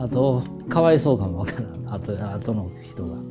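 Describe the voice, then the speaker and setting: Music plays behind a man speaking. His pitch is medium and his pace moderate. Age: 60s. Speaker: master blacksmith. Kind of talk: interview answer.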